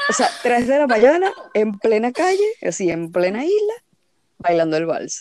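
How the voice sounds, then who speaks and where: A woman talks with a high pitch. Her pitch swings very widely. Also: moderate pace. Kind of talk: casual chat.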